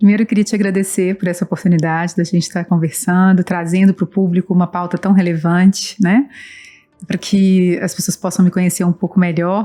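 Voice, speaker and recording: Over music in the background, a woman with a strong Minas Gerais accent talks at a fairly quick pace, medium in pitch. Her intonation is monotone and flat, the sound dry and close with no echo. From Brazil, Belo Horizonte (Minas Gerais). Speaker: nonprofit director and professor. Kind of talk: interview.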